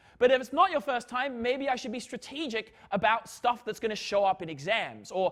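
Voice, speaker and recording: With lively intonation and an animated tone, a man talks at a moderate pace in a high pitch. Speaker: physics lecturer. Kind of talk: lecture. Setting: lecture hall with students. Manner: loud.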